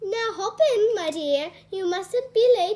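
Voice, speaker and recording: A woman adopts a put-on character voice, pitched extremely high. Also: fairly slow pace. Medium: read story. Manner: warm, fussy, affectionate.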